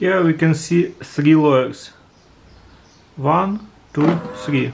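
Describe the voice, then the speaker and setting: A non-native accent at a very slow pace with noticeable background noise. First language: non-native English speaker. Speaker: home coffee demonstrator. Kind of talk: casual how-to demonstration. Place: kitchen. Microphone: phone near.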